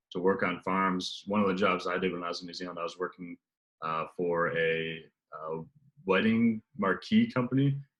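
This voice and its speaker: A man's very deep, low voice with an American accent. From USA. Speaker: travel sales executive. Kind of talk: casual interview. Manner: hesitant, many fillers.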